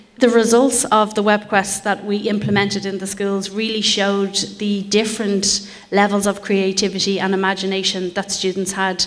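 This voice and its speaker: Over noticeable background noise, a woman speaks in a monotone, flat intonation at medium pitch and a moderate pace. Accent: Irish. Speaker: project partner researcher. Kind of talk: conference presentation. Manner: hesitant fillers (um).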